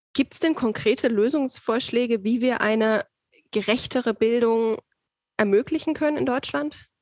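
With a dry, close sound with no echo, a woman speaks in a plain, everyday voice at a moderate pace, fairly high in pitch, with ordinary pitch variation and very even loudness. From Saxony, eastern Germany. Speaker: podcast host, trainee. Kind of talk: casual interview.

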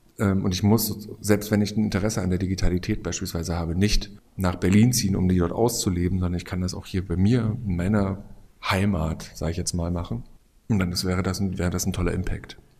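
A man's very deep, low voice with a dark, mellow tone, fairly even intonation and a fairly quick pace, plus audible room echo. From eastern Germany (Bautzen, Upper Lusatia). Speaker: design professor. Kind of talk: interview. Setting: on site at a conference. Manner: hesitant, many fillers.

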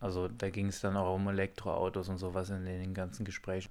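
Moderate pace and fairly low pitch in a man's normal speaking voice. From Hunsrück, southwestern Germany. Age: 30s. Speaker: assembly manager and village energy activist. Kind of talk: interview. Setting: walking outdoors through village.

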